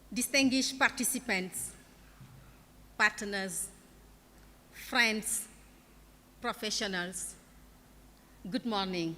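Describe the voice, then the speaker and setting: Speaking very slowly with a non-native accent, the voice has a bright, sharp tone, ordinary pitch variation and long, frequent pauses. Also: woman, fairly high pitch for a woman. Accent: non-native accent, self-noted. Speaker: keynote speaker, international education official. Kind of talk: keynote speech.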